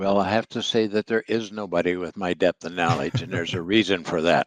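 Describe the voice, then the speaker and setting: A man's very deep, low voice at a fairly quick pace, with a dry, close sound with no echo. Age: 70s. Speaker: lactose industry consultant. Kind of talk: podcast interview. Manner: hesitant, with fillers.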